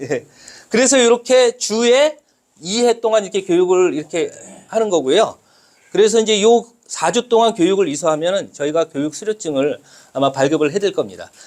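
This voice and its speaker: A man's loud voice at a very fast pace, with lively intonation. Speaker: lecturer. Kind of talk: lecture. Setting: classroom with audience. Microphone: no microphone, unamplified voice.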